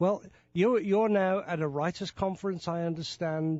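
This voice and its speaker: A man speaks with a British accent. His pitch is high. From Britain. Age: 70s. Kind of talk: interview.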